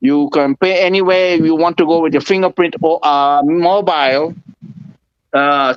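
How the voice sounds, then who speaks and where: Speaking with a Spanish accent, a man holds a very even loudness at a fairly high pitch. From Venezuela. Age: 40s. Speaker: interviewee on current affairs. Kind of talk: interview. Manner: halting, searching for words.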